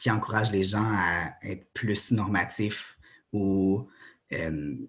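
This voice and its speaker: Speaking very slowly, a man has a fairly low pitch. His pitch varies in an ordinary way. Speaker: doctoral researcher. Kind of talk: academic conference talk. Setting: presentation to students with slides. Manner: halting, many fillers.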